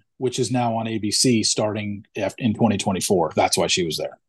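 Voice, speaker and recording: A man speaks in a somewhat breathy voice over a quiet background. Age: 40s. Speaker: reality TV blogger and podcaster. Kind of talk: casual chat.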